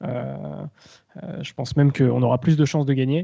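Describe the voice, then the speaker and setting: A man talks at a very slow pace. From Rennes, Brittany, France. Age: 20s. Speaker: football supporter, social media account. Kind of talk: casual chat.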